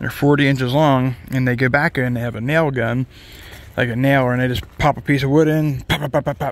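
Talking at a fairly quick pace, a man uses monotone, flat intonation in a dry sound with no echo. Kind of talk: casual vlog chat. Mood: relaxed, briefly emotional. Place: street. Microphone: phone near.

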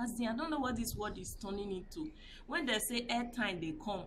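Over noticeable background noise, a woman talks with lively intonation and a somewhat breathy voice. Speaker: vlogger. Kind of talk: casual vlog commentary. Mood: indignant, moralizing. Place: street. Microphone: phone near.

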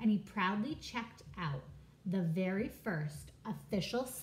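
The words are read aloud in a natural voice.

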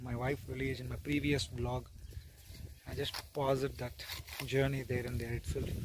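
A man's somewhat breathy voice keeps a fairly even intonation. There is noticeable background noise. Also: dry sound with no echo. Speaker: vlogger. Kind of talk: casual vlog chat. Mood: reflective, calm. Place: farm. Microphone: phone near.

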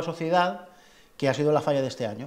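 A man with a fairly high pitch, ordinary pitch variation and a fairly quick pace. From Spain. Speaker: festival club president and artist; interviewee. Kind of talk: interview. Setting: falla clubhouse. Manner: halting. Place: hall. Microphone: lapel.

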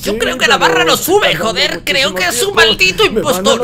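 Over loud background noise, a man in a cartoonish character voice projects at an extremely high pitch, his voice raised. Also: moderate pace. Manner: brash, excitable.

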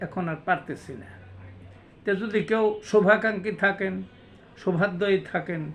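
The man's voice is high in pitch. His intonation stays fairly even. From Bangladesh, Manikganj. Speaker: poet and homeopathic doctor. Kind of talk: self-introduction monologue.

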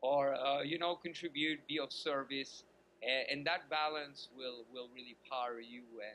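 A man with a fairly high voice speaks at a moderate pace, his pitch varying in an ordinary way. His loudness swings a lot over light background noise. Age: 40s. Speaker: dating coach. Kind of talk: interview. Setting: video call. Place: home room. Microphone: video call.

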